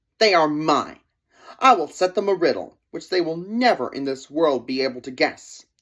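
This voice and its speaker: A put-on character voice sits at a middle pitch. The pace is moderate. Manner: mocking.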